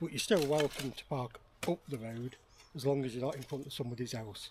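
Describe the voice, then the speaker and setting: Fairly high-pitched man with a Lancashire accent and ordinary pitch variation. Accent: northern English (Lancashire). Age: 60s. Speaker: bushcraft vlogger. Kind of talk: casual vlog talk to camera. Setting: outdoors in woodland.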